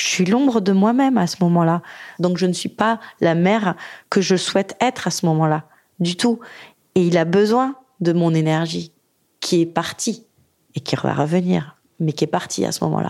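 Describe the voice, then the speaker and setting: A woman with a fairly low pitch talks at a moderate pace. She leaves long, frequent pauses, and her pitch varies in an ordinary way. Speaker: widowed single mother. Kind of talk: testimony. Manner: halting.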